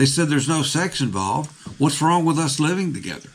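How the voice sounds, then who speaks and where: Fairly quick speech from a man in an American accent, echoing audibly off the room. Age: 60s. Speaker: pastor. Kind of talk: sermon.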